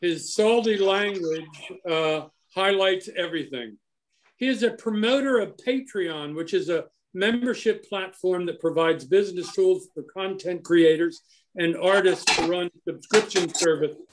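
The voice belongs to a man and sits high in pitch. It rises and falls in an ordinary way. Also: moderate pace. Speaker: horticultural society member introducing the speaker. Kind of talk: speaker introduction. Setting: video call. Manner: enthusiastic. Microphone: video call.

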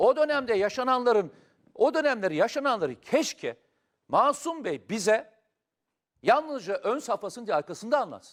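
On a very clean recording with a silent background, a man with an extremely high pitch talks at a moderate pace, his tone animated and intonation lively. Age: 50s. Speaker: political commentator. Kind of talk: talk show discussion.

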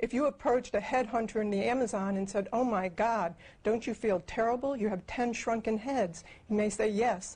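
A woman speaks at a moderate pace in a fairly high, somewhat breathy voice, with ordinary pitch variation and very even loudness. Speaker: co-founder of a futurist project. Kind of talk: interview. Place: home room.

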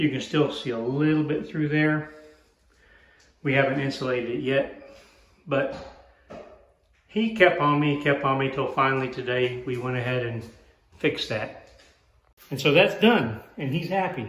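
Speaking at a moderate pace, a man shows ordinary pitch variation. He takes long, frequent pauses, and room echo is audible. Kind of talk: casual vlog chat. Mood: cheerful, joking. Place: home room. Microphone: phone near.

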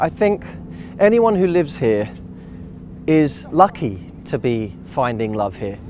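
A man at a fairly slow pace, dry sound with no echo, light background noise behind him. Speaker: dating coach. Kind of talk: to-camera commentary. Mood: earnest, encouraging. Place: waterside. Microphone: lapel.

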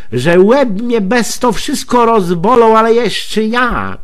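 A high-pitched male voice with a Poznań accent, a very slow pace and noticeable background noise. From Greater Poland. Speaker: dialect storyteller. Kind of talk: humorous monologue in regional dialect. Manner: chatty, colloquial.

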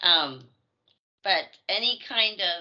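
In a quiet background, a woman speaks at a very slow pace. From Edmonton, Canada. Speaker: actress and voice actor. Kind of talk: casual interview. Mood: friendly, relaxed. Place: home room. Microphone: video call.

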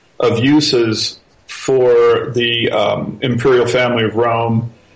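Noticeable background noise surrounds a man who speaks very slowly. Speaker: author and researcher. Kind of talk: interview. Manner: relaxed and even-handed; halting, many fillers.

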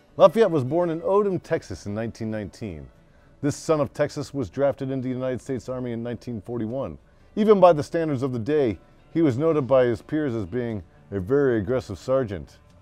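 A man at a fairly quick pace, with a dry sound with no echo and faint music in the background. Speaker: history show host. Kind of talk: storytelling narration. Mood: jovial, laughing asides. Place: home room.

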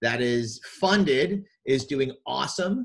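A man's slow, lively-intoned voice with a slightly husky edge

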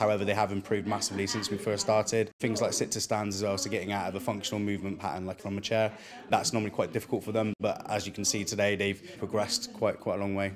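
With a fairly low pitch and monotone, flat intonation, a man rushes along at a very fast pace with hardly any pauses over noticeable background noise. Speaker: fitness instructor. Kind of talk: interview. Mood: positive, proud. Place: hall.

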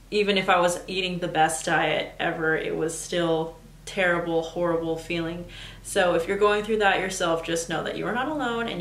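Audible room echo surrounds a woman speaking at a moderate pace. Her pitch is fairly low and her intonation fairly even. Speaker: lifestyle vlogger. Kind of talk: personal story vlog. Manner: casual and chatty. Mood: candid, expressive storytelling.

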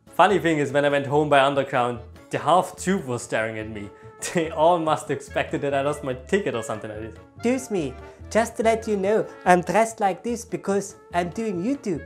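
With faint music in the background, a man with a German accent talks at a fairly quick pace and fairly high pitch, his voice making very wide pitch swings. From Germany. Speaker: YouTuber, former hospitality worker. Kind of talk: comedic vlog talk to camera. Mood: jokey, ironic storytelling.

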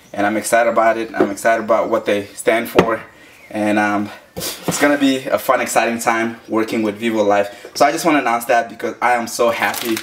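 Speech comes at a fairly quick pace with fairly even intonation. Noticeable noise sits in the background. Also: man. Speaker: daily runner vlogger. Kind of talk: casual vlog chat. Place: kitchen.

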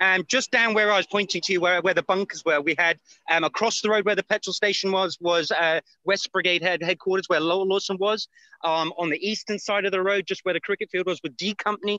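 In a British accent, a man uses a raised, projected voice with a high pitch, a bright, sharp tone and fairly even intonation at a very fast pace, with a dry sound with no echo and a quiet background. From Britain. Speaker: battlefield guide, war buff; on-site guide filming battlefield. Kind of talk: live walking tour commentary. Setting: outdoors on hill trail. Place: open country. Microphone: video call.

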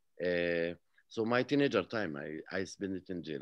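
With an Arabic accent, a man speaks at a very deep, low pitch, the sound dry with no echo and the background quiet. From Palestine, village near Jerusalem. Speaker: peace activist and author; interview guest. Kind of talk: interview. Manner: halting. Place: home room. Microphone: video call.

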